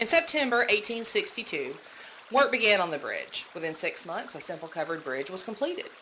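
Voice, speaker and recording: The speaker has a Southern US accent and talks at a moderate pace. Noticeable background noise runs underneath. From US South, Georgia. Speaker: podcast host. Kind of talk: casual podcast storytelling.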